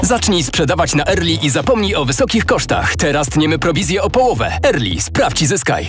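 Fairly quick delivery with hardly any pauses and very even loudness, over music in the background. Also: man. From Poland. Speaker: voice actor. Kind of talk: TV commercial read.

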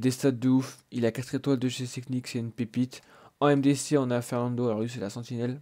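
Flat and monotone, a man speaks in a dark, mellow tone. The recording is very clean, with a silent background. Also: medium pitch for a man, fairly quick pace. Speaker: gaming youtuber. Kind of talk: gameplay commentary. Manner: casual, hesitant with many fillers.

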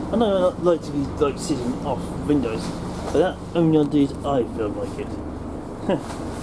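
The speech moves at a fairly slow pace, with noticeable background noise. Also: man. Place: train. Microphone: phone near.

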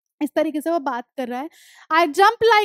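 A woman speaks at an extremely high pitch. The background is quiet, and the sound is dry with no echo. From India. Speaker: English teacher. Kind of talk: lecture. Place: studio. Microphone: headset.

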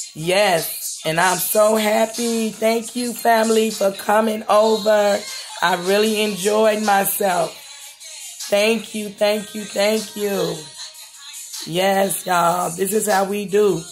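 Faint music plays in the background as the voice moves at a very slow pace. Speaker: home cook vlogger. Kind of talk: casual vlog chat. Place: kitchen. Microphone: phone near.

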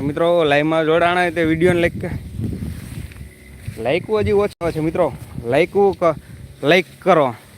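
A man with a high voice and ordinary pitch variation is heard through noticeable background noise. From Saurashtra, Gujarat (Dhoraji taluka). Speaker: farmer vlogger. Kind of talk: live farm vlog. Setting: outdoors in a soybean field.

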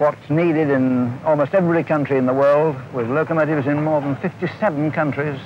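Noticeable background noise sits under this voice. The speech has a moderate pace and fairly even intonation. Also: man. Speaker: locomotive company chairman. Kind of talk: interview, speaking informally about his firm. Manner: conversational, reflective, confident.

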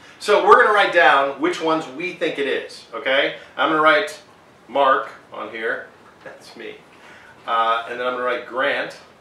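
A man speaks at a moderate pace, and the room's echo is clearly audible. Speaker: host of a taste test. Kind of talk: casual vlog chat. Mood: playful, joking. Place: home room.

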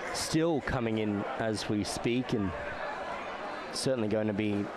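Loud background noise surrounds the recording. Over it, a man talks at a moderate pace. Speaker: match commentator. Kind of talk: sports commentary. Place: stadium.

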